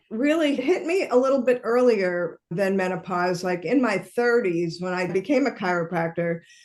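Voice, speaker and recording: A normal speaking voice from a woman, medium in pitch, with lively intonation at a fairly slow pace. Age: 60s. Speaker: menopause coach. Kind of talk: podcast interview.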